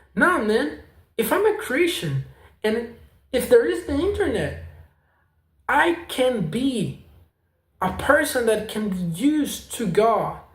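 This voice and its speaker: Speaking very slowly with long, frequent pauses, a man uses an extremely high pitch that swings very widely, with audible room echo around him. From South America. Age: 20s. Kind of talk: casual vlog testimony. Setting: home apartment. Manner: halting.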